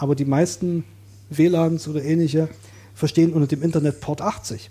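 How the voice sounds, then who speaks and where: Somewhat breathy and dark, mellow in tone, a man with a fairly high pitch speaks at a moderate pace in a very clean recording with a silent background. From Saxony, eastern Germany. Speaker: coworking space user, self-employed IT worker. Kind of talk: casual podcast interview.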